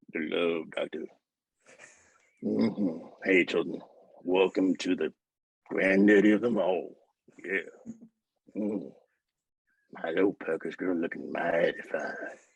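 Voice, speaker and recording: In a gravelly put-on character voice, a man speaks at a fairly slow pace, leaving long, frequent pauses. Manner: creepy, smooth.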